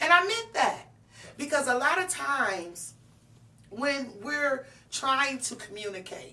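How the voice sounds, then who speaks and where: A loud, high-pitched woman's voice at a fairly slow pace. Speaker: talk show host. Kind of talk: interview.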